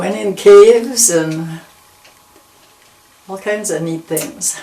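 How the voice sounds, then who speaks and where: Very slow speech over noticeable background noise. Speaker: longtime local resident. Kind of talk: oral history interview. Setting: at her home.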